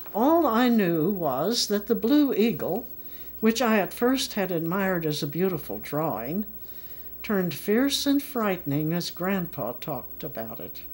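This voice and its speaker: On a very clean recording with a silent background, a woman with an American accent talks at a fairly slow pace. Her medium-pitched voice has very wide pitch swings. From US Midwest. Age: 80s+. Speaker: memoirist. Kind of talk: reading aloud.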